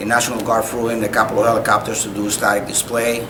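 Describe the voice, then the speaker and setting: A man with a Spanish accent speaks at a medium pitch. Noticeable background noise and audible room echo fill the recording. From Cuba. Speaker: retired army officer, war veteran. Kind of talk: oral history interview. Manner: halting, frequent uh fillers; polite, formal.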